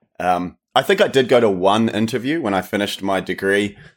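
A man speaks at a very fast pace. His fairly low voice has ordinary pitch variation. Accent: New Zealand. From New Zealand. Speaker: true crime podcaster, former stunt actor. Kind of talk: casual chat. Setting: remote call.

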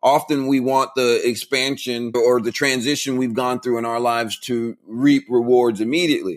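A man with an American accent talks at a moderate pace in a plain, everyday voice, his intonation fairly even. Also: medium pitch for a man, hardly any pauses. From Central Florida. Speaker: author and motivational speaker. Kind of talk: interview.

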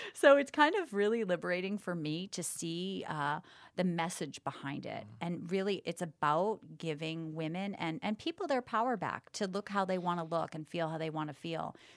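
With an American accent, a woman talks at a moderate pace in a fairly low pitch with ordinary pitch variation, in a very clean recording with a silent background. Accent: Boston accent dropped. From Boston. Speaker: entrepreneur and former TV host. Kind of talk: casual interview.

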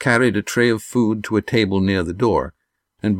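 Fairly even intonation in a natural reading voice, quiet all around

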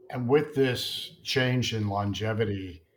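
Somewhat breathy, fairly low male voice with fairly even intonation, on a very clean recording with a silent background. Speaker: podcast co-host. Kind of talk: interview.

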